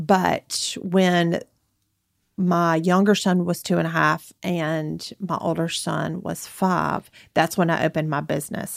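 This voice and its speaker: In an Alabama accent, a woman speaks very slowly at a fairly low pitch with monotone, flat intonation. The recording is very clean, with a silent background. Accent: US Southern (Alabama). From northern Alabama, Limestone County. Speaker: boutique owner and mother. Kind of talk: casual interview chat.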